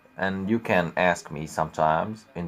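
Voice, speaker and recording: A man speaks at a fairly slow pace in a very deep, low voice. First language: Arabic. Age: young. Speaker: YouTuber teaching Arabic. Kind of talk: casual vlog talk to viewers. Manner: halting, hesitant.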